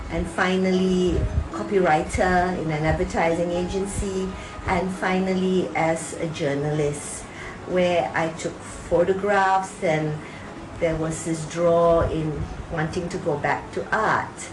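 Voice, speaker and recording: A woman speaks at a very slow pace with a fairly low pitch and fairly even intonation. Noticeable background noise and audible room echo fill the recording. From Singapore. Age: 60s. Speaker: artist. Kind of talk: personal narrative interview. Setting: home studio.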